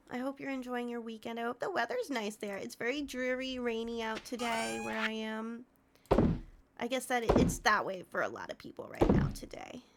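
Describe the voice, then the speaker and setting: Soft-spoken, a woman with a fairly high voice talks at a moderate pace with ordinary pitch variation. Noticeable background noise can be heard. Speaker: Twitch streamer. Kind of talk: casual livestream talk to chat. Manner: soft-spoken, friendly.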